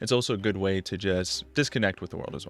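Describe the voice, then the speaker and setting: Bright and sharp in tone, a man talks at a very fast pace with ordinary pitch variation. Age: 20s. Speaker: online business owner. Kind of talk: vlog narration.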